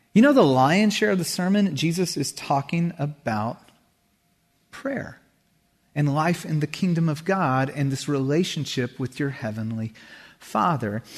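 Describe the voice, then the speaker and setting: At a fairly slow pace, a man with an ordinary speaking voice uses lively intonation and a fairly high pitch. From California, Santa Cruz. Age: 40s. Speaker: pastor. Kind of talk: sermon. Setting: church.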